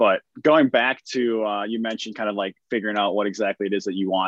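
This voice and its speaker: The man's fairly low voice has fairly even intonation and a dry, close sound with no echo. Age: 20s. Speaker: podcast host. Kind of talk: casual interview.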